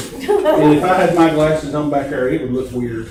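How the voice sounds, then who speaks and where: This man has a fairly high pitch with ordinary pitch variation. Noticeable background noise can be heard. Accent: American. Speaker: county official chairing a public meeting. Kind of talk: public meeting. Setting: meeting room with room microphone. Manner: loud.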